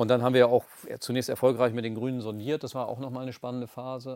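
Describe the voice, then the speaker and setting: In a very clean recording with a silent background, a man of medium pitch speaks very fast in a monotone, flat intonation. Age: 50s. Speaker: regional politician. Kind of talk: interview. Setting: studio.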